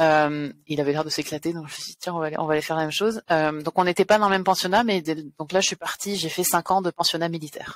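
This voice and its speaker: The voice runs at a very fast pace with hardly any pauses and fairly even intonation. The sound is dry and close, with no echo. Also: woman, fairly low pitch for a woman. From France. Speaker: video game producer. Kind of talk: interview.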